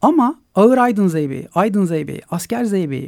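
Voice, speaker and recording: The man's pitch is high and his intonation lively. He talks at a fairly quick pace. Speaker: ethnomusicologist. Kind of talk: radio interview.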